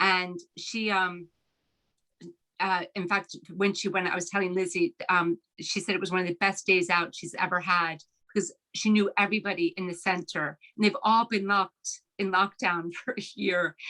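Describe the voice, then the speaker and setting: A woman with an American accent speaks at a moderate pace and medium pitch, her tone bright and sharp and her intonation monotone and flat. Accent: American accent, heard as a twang in Ireland. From Philadelphia, US. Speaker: novelist. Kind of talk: author talk Q&A. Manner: halting, many fillers.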